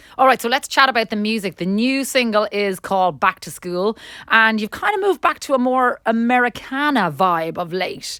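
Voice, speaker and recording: A woman with an Irish accent, fairly high pitch and a bright, sharp tone, lively intonation, moderate pace with hardly any pauses, dry, close sound with no echo. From Ireland. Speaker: radio host. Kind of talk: radio interview.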